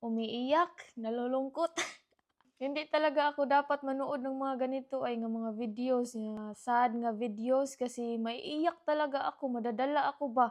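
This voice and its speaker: A woman talks in a high voice. Her pace is fairly slow. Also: ordinary pitch variation. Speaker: vlogger. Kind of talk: casual vlog chat. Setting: at home, partner sleeping. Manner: soft-spoken, lowered voice.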